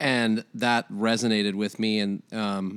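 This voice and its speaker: With an American accent, a man speaks in a fairly low pitch and a monotone, flat intonation. The sound is dry and close with no echo, on a very clean recording with a silent background. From Iowa. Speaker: coffee shop manager. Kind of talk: casual interview. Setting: living room.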